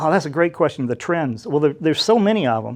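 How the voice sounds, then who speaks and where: Speaking with an American accent, a man uses a fairly high pitch and lively intonation. The background is quiet. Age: 50s. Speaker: tech dealmaker and entrepreneur. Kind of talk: interview. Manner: casual, hesitant with fillers.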